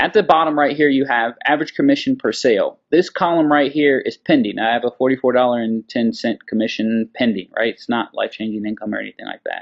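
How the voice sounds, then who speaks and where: Against a quiet background, a man speaks at a very fast pace with hardly any pauses and big swings in loudness. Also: ordinary pitch variation. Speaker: online marketer. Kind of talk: screen-share tutorial. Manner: casual, filler-heavy. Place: home room. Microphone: webcam.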